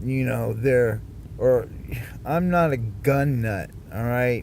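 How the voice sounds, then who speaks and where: The room echo is audible. A man with a medium pitch talks with an American accent. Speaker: vlogger. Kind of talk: personal monologue vlog. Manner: loud; halting, many fillers and repeats.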